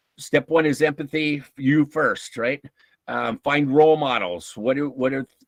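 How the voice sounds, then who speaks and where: The clip features an ordinary speaking voice with ordinary pitch variation and a dry, close sound with no echo. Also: man, fairly high pitch for a man, fairly slow pace. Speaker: workshop speaker on emotional intelligence. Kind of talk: lecture. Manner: casual, many fillers.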